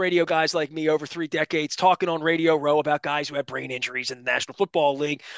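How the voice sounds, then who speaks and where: Recorded dry and close with no echo over a quiet background, the raised, projected voice has a bright, sharp tone. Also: man. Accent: American. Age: 50s. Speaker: sports radio host. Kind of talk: casual radio interview. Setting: radio studio.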